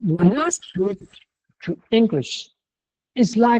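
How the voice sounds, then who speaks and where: A very slow delivery in a Mandarin accent. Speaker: university lecturer. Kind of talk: lecture. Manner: halting.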